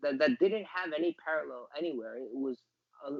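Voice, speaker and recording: Delivered at a fairly quick pace, an ordinary speaking voice with ordinary pitch variation comes through in a dry, close sound with no echo. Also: man. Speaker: soccer commentator. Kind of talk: interview answer.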